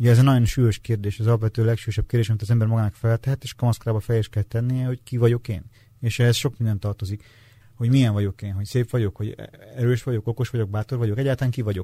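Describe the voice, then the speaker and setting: Very fast and somewhat breathy, a man at medium pitch with a dark, mellow tone keeps a fairly even intonation in a dry, close sound with no echo. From Transylvania, Romania. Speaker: novelist. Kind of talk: interview.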